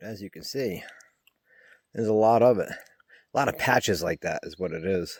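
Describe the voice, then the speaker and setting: A plain, everyday voice from a man, medium in pitch, at a moderate pace, with ordinary pitch variation and big swings in loudness. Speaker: thru-hiker vlogger. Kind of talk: casual vlog narration. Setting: outdoors on hiking trail.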